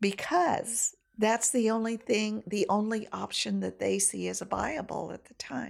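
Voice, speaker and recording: Speaking at a fairly slow pace with an American accent, a woman shows big swings in loudness. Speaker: domestic violence program director. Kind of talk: casual chat.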